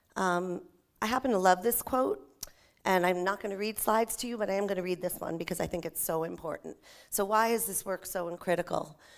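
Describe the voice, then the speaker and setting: A woman at a medium pitch, talking at a fairly quick pace with ordinary pitch variation. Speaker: nonprofit agency presenter. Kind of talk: conference presentation. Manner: fast.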